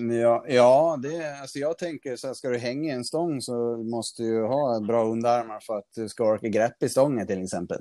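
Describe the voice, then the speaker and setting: A man's dark, mellow voice at medium pitch, with ordinary pitch variation, a moderate pace and hardly any pauses. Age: 30s. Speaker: calisthenics athlete. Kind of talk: interview. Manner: halting.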